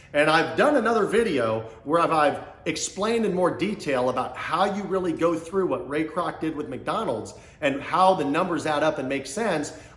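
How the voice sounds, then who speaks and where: With an American accent and audible room echo, a man speaks in an animated tone with lively intonation at a fairly high pitch. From Kansas City, US Midwest. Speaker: small business coach / entrepreneur. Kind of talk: motivational business talk to camera. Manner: fast.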